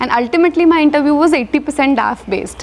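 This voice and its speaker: Noticeable background noise runs beneath a woman's speech. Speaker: civil service exam topper. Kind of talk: interview. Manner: fast.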